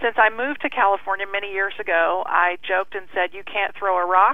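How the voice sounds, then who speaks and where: A woman with an American accent speaks at a medium pitch, her pitch varying in an ordinary way. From Kentucky. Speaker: breast cancer survivor. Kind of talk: casual interview.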